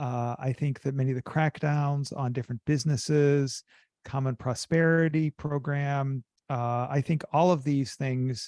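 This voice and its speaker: A man with an American accent, a plain, everyday voice, fairly high pitch, fairly even intonation and a fairly slow pace, in a dry, close sound with no echo and a quiet background. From US. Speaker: business school professor. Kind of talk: interview.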